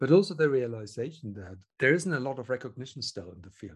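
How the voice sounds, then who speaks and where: A man talks at a fairly quick pace in a German accent. His voice is medium in pitch and somewhat breathy. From Germany. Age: 50s. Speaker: research software engineer. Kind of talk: interview.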